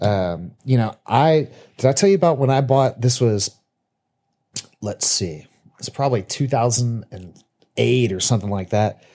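Speaking slowly with long, frequent pauses, a man uses lively intonation. His voice is medium in pitch and dark, mellow in tone. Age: 30s. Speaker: podcast co-host. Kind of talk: casual chat.

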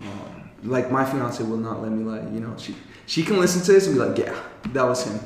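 A man's medium-pitched voice with an American accent, fairly quick and lively in intonation, over noticeable background noise. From Colorado, US. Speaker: podcast co-host and youth mentor. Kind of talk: casual chat. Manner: laughs often.

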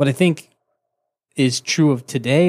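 Recorded very cleanly with a silent background, a man's voice sounds dry and close with no echo. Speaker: podcast co-host. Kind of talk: casual banter over beers. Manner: hesitant, filler-heavy, joking.

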